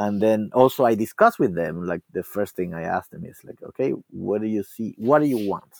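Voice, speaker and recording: A man with a Spanish accent talks at a fairly quick pace in a fairly low pitch, with hardly any pauses and lively intonation. His loudness swings widely, and the sound is dry and close with no echo. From Cuba. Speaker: classical guitarist and teacher. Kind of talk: interview. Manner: halting.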